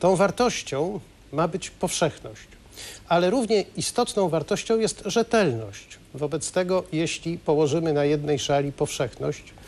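A man speaks at a fairly slow pace with a high-pitched voice. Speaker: guest. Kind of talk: interview answer. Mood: calm analytical explaining. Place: studio. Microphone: lapel.

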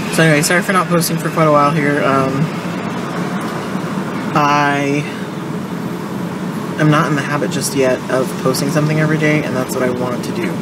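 A woman talks at a fairly quick pace against loud background noise. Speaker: vlogger. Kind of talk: casual vlog chat. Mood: apologetic, relaxed. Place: car. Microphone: phone near.

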